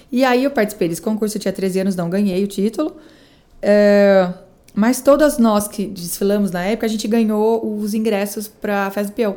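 Her tone dark and mellow, a woman speaks at a moderate pace with medium pitch and ordinary pitch variation. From Brazil, São Paulo state interior (Araras). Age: 30s. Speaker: event producer and businesswoman. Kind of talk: casual interview chat.

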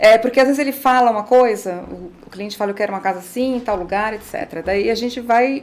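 At a fairly quick pace, a woman talks in a normal speaking voice with ordinary pitch variation. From São Paulo. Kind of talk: casual interview.

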